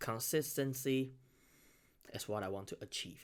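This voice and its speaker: A man with a Chinese accent talks at a fairly slow pace. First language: Mandarin Chinese. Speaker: beatboxer and reaction youtuber. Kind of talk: casual new year address to viewers. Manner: halting, many fillers and self-corrections.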